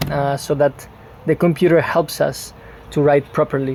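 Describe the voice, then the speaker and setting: Noticeable background noise is present as someone talks at a moderate pace. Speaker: Spanish teacher. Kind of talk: online language lesson.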